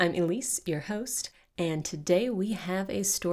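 Ordinary pitch variation in plain reading aloud

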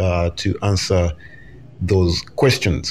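A man talks with an East African accent. Noticeable background noise runs behind him. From Uganda. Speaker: podcast host. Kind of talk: interview conversation. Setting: live podcast.

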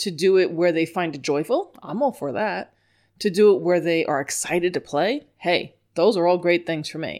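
On a very clean recording with a silent background, a woman with an American accent speaks with ordinary pitch variation. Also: fairly low pitch for a woman, moderate pace. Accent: New York accent, only when upset. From New York. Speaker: dog trainer. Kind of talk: solo podcast lecture.

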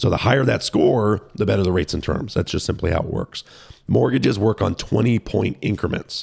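A man talks at a fairly quick pace with lively intonation and vocal fry. His pitch is fairly low, and the sound is dry and close with no echo. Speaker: mortgage lender. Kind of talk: casual explanatory interview. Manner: explanatory, knowledgeable.

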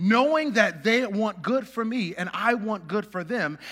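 A man with an American accent projects a raised, high-pitched voice with a bright, sharp tone. He keeps a moderate pace and lively intonation. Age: 30s. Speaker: pastor. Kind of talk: sermon. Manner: casual, many fillers and laughs.

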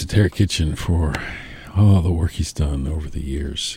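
A man speaks against noticeable background noise. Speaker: radio host.

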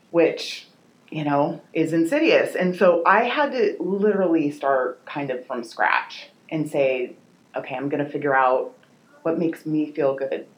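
A woman speaks with a very deep, low pitch. Her pace is fairly slow, and her pitch variation is ordinary. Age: 50s. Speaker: personal trainer and nutrition coach. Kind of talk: casual chat.

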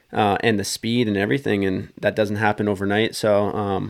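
Heard on a very clean recording with a silent background, a man speaks with a western Canadian accent. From British Columbia, western Canada. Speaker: professional motocross racer. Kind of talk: casual chat. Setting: studio.

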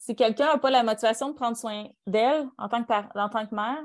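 A woman with a Quebec accent speaks at a fairly high pitch and a moderate pace. Her pitch varies in an ordinary way, and the background is quiet. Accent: Québécois French. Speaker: podcast co-host. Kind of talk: casual chat.

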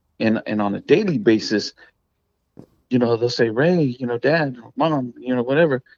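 Recorded dry and close with no echo, a man talks at a moderate pace in a medium pitch with ordinary pitch variation and a normal speaking voice. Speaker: dent repair business owner. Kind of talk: interview. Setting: phone or remote call.

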